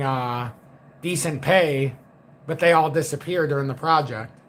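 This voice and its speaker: With fairly even intonation, a man keeps his speech at a moderate pace. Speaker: crypto trading educator. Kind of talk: livestream market commentary. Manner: quiet, low-key; flat, unemotional.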